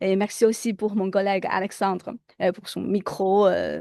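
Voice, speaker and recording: A woman speaks at a fairly slow pace with a non-native accent. The background is quiet. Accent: foreign accent in French. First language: Chinese (speaking French). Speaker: lecturer. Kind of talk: lecture. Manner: hesitant with fillers.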